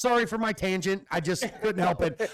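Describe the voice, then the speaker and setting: This man's pitch is high, and its variation is ordinary. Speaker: hunter and podcast host. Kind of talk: casual chat. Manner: loud when excited. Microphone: echo.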